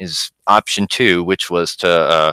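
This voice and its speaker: A man talks in a bright, sharp tone, recorded very cleanly against a silent background with a dry, close sound and no echo. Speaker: online investigation channel host. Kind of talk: live stream commentary. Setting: live stream with chat. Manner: halting, many fillers.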